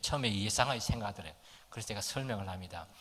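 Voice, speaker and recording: Audible room echo surrounds a man's bright, sharp tone. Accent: strong Gyeongsang. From Gyeongsang region, South Korea. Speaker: pastor. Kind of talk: sermon.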